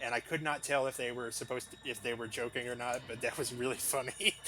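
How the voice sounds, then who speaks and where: Over background music, a man talks at a moderate pace and medium pitch with monotone, flat intonation. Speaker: gaming streamer. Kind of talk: live gameplay stream chat. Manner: casual, chatty.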